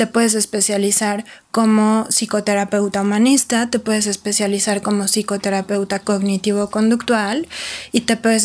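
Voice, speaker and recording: Her intonation monotone and flat, a woman speaks at a moderate pace in a fairly high pitch. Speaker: psychotherapist. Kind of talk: interview.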